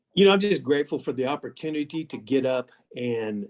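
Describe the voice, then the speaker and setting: Using lively intonation, a man with a fairly high pitch talks at a fairly quick pace in a Texas accent. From South Texas. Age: 60s. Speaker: agricultural organization executive. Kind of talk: interview.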